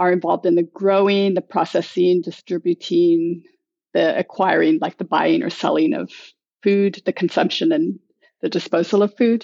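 A woman with an American accent talks at a moderate pace and medium pitch in an unremarkable speaking voice. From United States. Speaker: food club organizer and writer. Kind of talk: casual interview.

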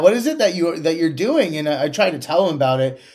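A man with a Canadian accent, very wide pitch swings and noticeable background noise. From Canada, Kingston, Ontario. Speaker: tech startup CEO. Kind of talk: interview.

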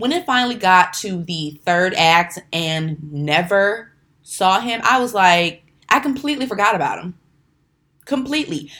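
A woman's bright, sharp, animated voice with very wide pitch swings at a fairly slow pace, on a very clean recording with a silent background. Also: medium pitch for a woman. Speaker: podcast host. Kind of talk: angry rant. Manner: irritated, emphatic, repeating 'okay?' for punch; animated, rambling, self-correcting.

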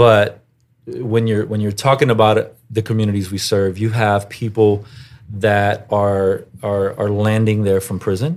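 A man speaks with an American accent in an unremarkable speaking voice, pitched fairly low. His pace is fairly slow and his intonation fairly even. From US South, Houston, Texas. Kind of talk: interview.

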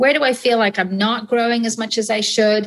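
Speaking at a moderate pace, a woman talks with an English accent. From England and Ireland. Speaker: physician, radiologist. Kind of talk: casual interview.

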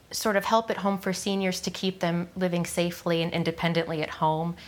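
The speech comes at a moderate pace. Its intonation stays monotone and flat. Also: woman. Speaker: end of life doula. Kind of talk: interview. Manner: halting, many fillers.

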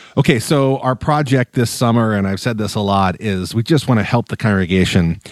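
A man speaks at a moderate pace in a very clean recording with a silent background. He has an unremarkable speaking voice, fairly low in pitch, with ordinary pitch variation. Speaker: pastor. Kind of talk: casual chat.

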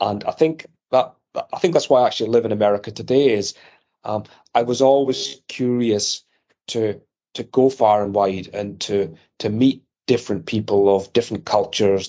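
A man talks at medium pitch with a slight Scottish accent. His tone is dark and mellow. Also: ordinary pitch variation, moderate pace. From Edinburgh, Scotland. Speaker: electronics company executive. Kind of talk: interview.

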